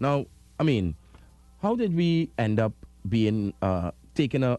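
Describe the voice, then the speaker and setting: Against a quiet background, a man with a Trinidadian accent speaks in a dark, mellow tone. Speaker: radio host. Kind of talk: live radio interview. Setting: Zoom call with guest, radio studio.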